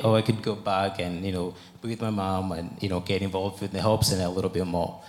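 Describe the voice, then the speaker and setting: Over noticeable background noise, a man talks at a very fast pace in a fairly low pitch with fairly even intonation. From Uganda. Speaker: charity worker. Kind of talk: testimony. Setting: church stage with congregation.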